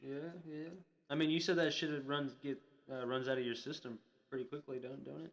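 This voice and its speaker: An American accent marks this man's fairly high-pitched voice. He moves at a fairly quick pace with ordinary pitch variation. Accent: Florida Southern accent, people remark on it. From Florida. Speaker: streamer. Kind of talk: casual chat.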